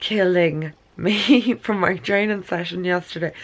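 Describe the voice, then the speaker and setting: A woman speaks very slowly with an Irish accent. Her pitch is fairly low. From Ireland. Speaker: beauty vlogger and nutritionist. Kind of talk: casual talk to camera.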